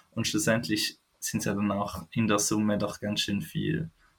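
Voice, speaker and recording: Speaking at a moderate pace, a man with a fairly low pitch uses lively intonation and some vocal fry. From Switzerland. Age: 20s. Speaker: foundation employee living with chronic illness. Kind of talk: interview, personal story. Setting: remote call.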